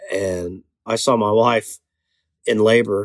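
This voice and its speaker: This is a man's voice. He speaks with an Alabama accent. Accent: US Southern (Alabama). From Alabama, Chelsea near Birmingham. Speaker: soul singer and band frontman. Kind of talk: casual interview. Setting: studio in Birmingham.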